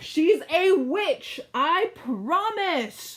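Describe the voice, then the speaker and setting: Her pitch is extremely high for a woman. She swings it very widely. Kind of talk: read-aloud story narration. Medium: read story. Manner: exasperated.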